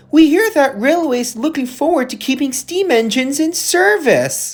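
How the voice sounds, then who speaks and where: A woman uses a high-pitched put-on character voice at a moderate pace. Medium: audio drama. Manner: polite.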